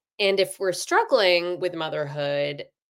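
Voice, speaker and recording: A normal speaking voice at a fairly slow pace. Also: woman. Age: 40s. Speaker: author. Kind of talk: casual interview chat.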